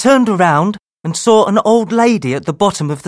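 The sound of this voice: An unforced reading voice carries lively intonation, with a quiet background behind it.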